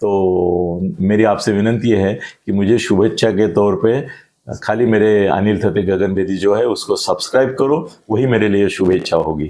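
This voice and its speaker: A man speaks at a fairly low pitch in a dark, mellow tone, with ordinary pitch variation. His loudness stays very even, and room echo is audible. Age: 70s. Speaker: political analyst. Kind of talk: political interview.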